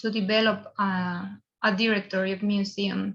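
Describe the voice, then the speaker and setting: This woman talks with a Spanish accent. Her voice sits at a medium pitch. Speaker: museum professional. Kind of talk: conference presentation. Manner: halting.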